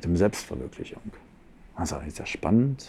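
The voice is dark, mellow and somewhat breathy. It moves at a fairly quick pace with very wide pitch swings. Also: man. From Berlin, Germany. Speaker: coach and seminar leader. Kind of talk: casual interview.

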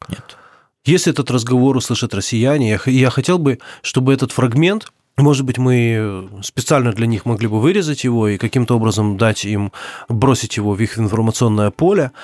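A man with a normal speaking voice talks at an average speed in a mid-range pitch, his pitch varying in a normal way, on a pristine recording with a completely silent background. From Ukraine. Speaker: journalist and volunteer soldier. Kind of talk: interview testimony.

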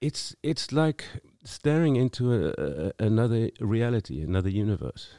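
A man with a South African accent speaks at a medium pitch in a dark, mellow tone, with very wide pitch swings. The recording is very clean with a silent background, dry and close with no echo. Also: moderate pace. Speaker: singer-songwriter. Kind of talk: casual chat. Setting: studio.

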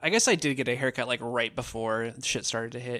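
Here a man talks with an American accent and a bright, sharp tone. His intonation is fairly even. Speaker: podcast co-host. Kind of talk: casual chat.

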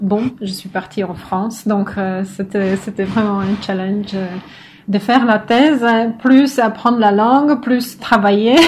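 A somewhat breathy, medium-pitched woman's voice at a fairly slow pace, with fairly even intonation. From northern Poland. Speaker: philosopher, doctoral researcher. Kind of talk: casual interview. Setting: at home.

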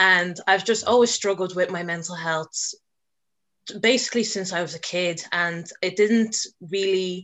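The speaker, in a Dublin accent, keeps a moderate pace with ordinary pitch variation. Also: woman. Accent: Dublin Irish. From Ireland, Dublin. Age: 20s. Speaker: student and mental health advocate. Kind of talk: podcast interview.

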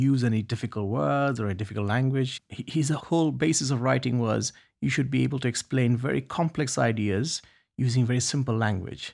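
A man with a Bangladeshi accent at a fairly quick pace and ordinary pitch variation, on a very clean recording with a silent background. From Bangladesh, Dhaka. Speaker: poet and festival co-founder. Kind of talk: interview. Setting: studio. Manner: halting.

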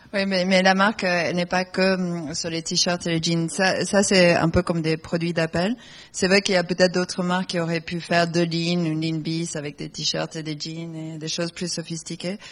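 This woman's voice sits fairly low, moving at a moderate pace with hardly any pauses and a monotone, flat intonation. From Argentina, raised in England. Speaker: fashion designer. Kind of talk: panel talk.

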